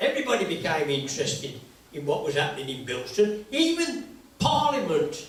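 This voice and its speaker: A man with a high pitch talks at a fairly quick pace, his pitch swinging very widely. There is audible room echo and noticeable background noise. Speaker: local historian. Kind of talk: public talk. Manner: conversational.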